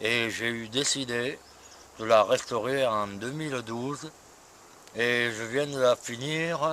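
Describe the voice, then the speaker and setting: A man with a bright, sharp tone speaks very slowly, with long, frequent pauses and fairly even intonation. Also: medium pitch for a man. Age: 60s. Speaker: retired postman, classic car owner. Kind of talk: interview.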